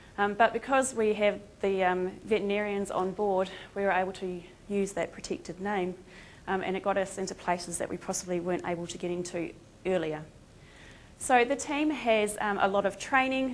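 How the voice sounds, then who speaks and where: With a New Zealand accent, the speaker moves at a fairly quick pace with ordinary pitch variation. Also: woman, medium pitch for a woman. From Australia. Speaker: veterinary lecturer and emergency responder. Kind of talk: conference presentation. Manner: casual, many filler ums.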